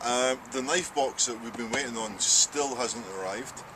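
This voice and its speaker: Noticeable background noise accompanies a man speaking with a Scottish accent. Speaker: archery range host. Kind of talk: casual chat.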